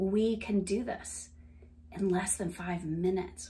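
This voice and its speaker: A somewhat breathy woman with a slight Southern US accent and ordinary pitch variation. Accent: light Southern US, city-adapted. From US South. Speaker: wellness coach. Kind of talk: guided laughter exercise. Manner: animated, laughs often; playful.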